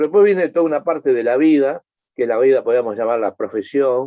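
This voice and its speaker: This is a man talking. He has an Argentine accent. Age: 60s. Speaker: environmental scientist, NGO president. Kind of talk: interview conversation. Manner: halting, many repetitions.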